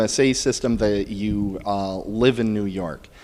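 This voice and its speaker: Speaking in an American accent, a man is heard over noticeable background noise. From US Midwest, Milwaukee, Wisconsin. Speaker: podcast interviewer. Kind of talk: interview. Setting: bridal shop.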